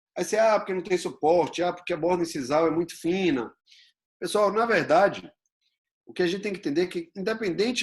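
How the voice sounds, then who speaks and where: A man's very fast, high-pitched speech with ordinary pitch variation. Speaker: dentistry lecturer. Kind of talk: lecture.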